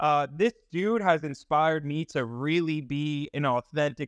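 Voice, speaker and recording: A man with a normal speaking voice talks at a fairly slow pace and a fairly high pitch, with ordinary pitch variation. The sound is dry and close with no echo, and there are hardly any pauses. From US Northeast, Long Island. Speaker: live audio chat host. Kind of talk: casual chat. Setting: live audio chat room. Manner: excitable.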